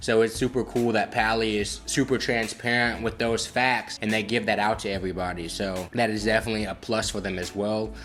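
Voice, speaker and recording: Over music in the background, a man with a fairly low pitch talks at a fairly quick pace, with fairly even intonation and hardly any pauses. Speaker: cannabis product reviewer. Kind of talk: casual product review. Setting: studio. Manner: fast; stumbling over words.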